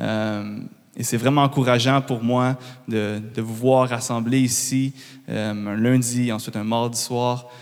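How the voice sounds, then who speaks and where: The man's voice holds a medium pitch, and his intonation stays flat and monotone. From Quebec. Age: 20s. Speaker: guest speaker. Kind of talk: public address. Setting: church. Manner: halting.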